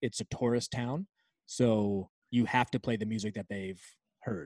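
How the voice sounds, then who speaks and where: An ordinary speaking voice with fairly even intonation, on a very clean recording with a silent background and a dry, close sound with no echo. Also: man. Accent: American. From Virginia, near Washington D.C. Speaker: sports arena DJ and music producer. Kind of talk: casual interview.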